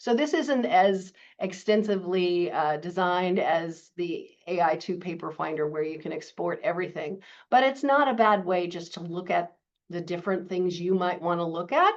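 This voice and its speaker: A woman speaks at a moderate pace in a fairly low pitch, with ordinary pitch variation. It is a plain, everyday voice against a quiet background. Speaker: librarian and webinar instructor; webinar instructor. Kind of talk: webinar tutorial.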